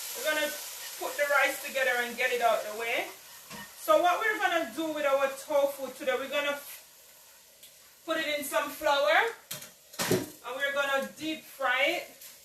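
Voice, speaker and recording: Amid noticeable background noise and audible room echo, a woman with a high pitch uses a raised, projected voice at a moderate pace, leaving long, frequent pauses. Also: ordinary pitch variation. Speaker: home cooking video host. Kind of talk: cooking tutorial. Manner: casual, chatty.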